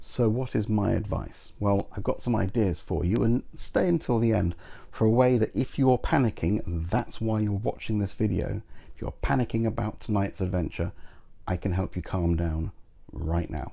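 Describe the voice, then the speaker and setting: The speaker has a British accent and ordinary pitch variation. The background is quiet. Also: man, fairly low pitch for a man, moderate pace. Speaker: YouTuber and game master advice host, magician. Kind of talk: advice monologue to camera. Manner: confident public speaker.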